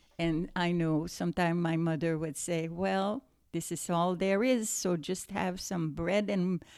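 In a Quebec accent, a woman speaks at a fairly slow pace and a fairly low pitch with fairly even intonation, on a very clean recording with a silent background. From Quebec, Montreal. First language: French. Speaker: grandmother. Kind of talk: casual chat. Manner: halting.

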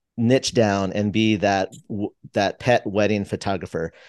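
Against a quiet background, a man with an American accent speaks in a plain, everyday voice at a fairly low pitch and a moderate pace. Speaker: toy photographer. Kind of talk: casual interview. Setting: remote call.

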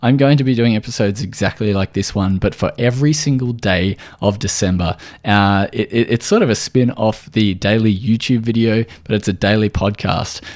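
In an Australian accent, the voice moves at a moderate pace with ordinary pitch variation and very even loudness. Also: man, fairly low pitch for a man. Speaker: podcast host, nutritional therapist. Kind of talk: solo podcast tutorial.

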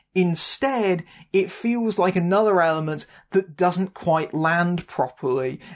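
Fairly slow speech in a British accent, with very even loudness, ordinary pitch variation and a quiet background. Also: woman, fairly low pitch for a woman. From Britain. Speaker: film critic. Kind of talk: scripted narration. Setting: home.

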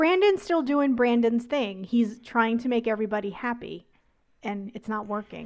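On a very clean recording with a silent background, a woman with an unremarkable speaking voice talks at a fairly quick pace and a fairly high pitch. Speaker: podcast host. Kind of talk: casual chat.

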